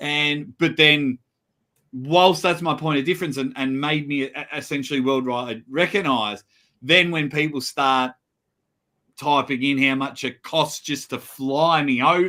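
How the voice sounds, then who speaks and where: A man's animated, fairly high voice at a moderate pace. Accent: Australian. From Australia. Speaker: arm wrestling commentator. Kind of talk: casual chat.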